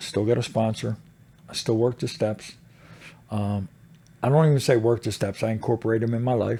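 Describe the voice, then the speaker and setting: A somewhat breathy man at medium pitch, with a dark, mellow tone and a fairly quick pace. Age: 60s. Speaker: motorcycle club president in recovery. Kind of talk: casual interview.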